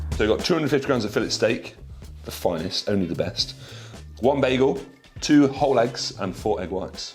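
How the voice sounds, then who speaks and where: With music in the background, a man speaks at a medium pitch and a fairly quick pace, his intonation lively. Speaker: IFBB pro bodybuilder. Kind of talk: casual talk to camera.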